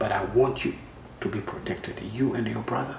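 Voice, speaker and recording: Audible room echo surrounds a man's voice. Light background noise can be heard as well. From Rwanda. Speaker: musician, genocide survivor; interview guest. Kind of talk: testimony. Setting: studio. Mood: earnest, reflective. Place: home room.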